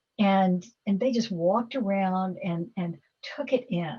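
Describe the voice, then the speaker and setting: With ordinary pitch variation at a medium pitch, a woman's voice comes across somewhat breathy. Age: 70s. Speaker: philanthropist. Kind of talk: Q&A talk. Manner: halting.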